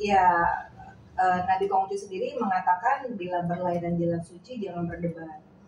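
A woman talks fairly slowly, her somewhat breathy voice holding fairly even intonation. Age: 40s. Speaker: Confucian religious community leader. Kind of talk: interview.

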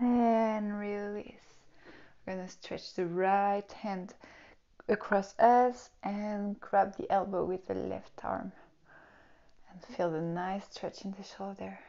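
With fairly even intonation, a woman speaks at a very slow pace with long, frequent pauses against a quiet background. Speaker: yoga teacher. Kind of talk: tutorial. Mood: calm, soothing guidance. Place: home room. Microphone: lapel.

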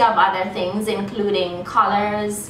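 A woman speaks at a fairly slow pace. Audible room echo and light background noise surround her voice. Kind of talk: promotional talk to camera. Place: workshop. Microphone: camera far.

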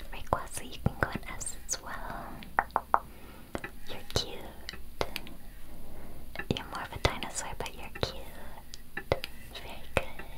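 Whispering and soft-spoken, a woman talks in a gentle tone at a fairly slow pace. Long, frequent pauses break up her speech. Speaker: content creator. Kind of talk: casual commentary while ranking. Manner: gentle soft whisper. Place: home room.

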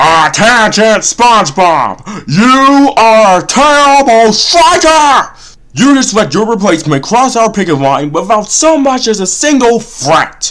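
A cartoonish character voice speaks at a fairly high pitch and a fairly slow pace. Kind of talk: comic cartoon parody voice. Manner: sarcastic, exasperated, grandiose when speechmaking.

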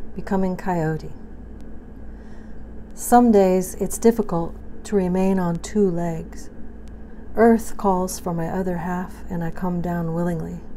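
Fairly low in pitch, a woman speaks at a very slow pace with long, frequent pauses and fairly even intonation over light background noise. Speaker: poet. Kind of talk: poetry reading. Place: kitchen. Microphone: phone near.

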